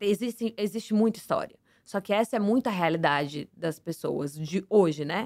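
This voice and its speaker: A woman speaks in a normal speaking voice at medium pitch and a moderate pace, her intonation lively. The sound is dry and close with no echo. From Santos, São Paulo state, Brazil. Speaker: former reality show contestant and flight attendant. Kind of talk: casual interview.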